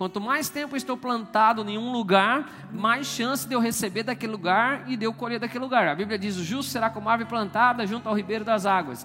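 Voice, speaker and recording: Over noticeable background noise, a man speaks very fast in a raised, projected voice with hardly any pauses. His pitch is high, with ordinary variation. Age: 40s. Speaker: pastor. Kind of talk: sermon. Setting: church. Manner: animated.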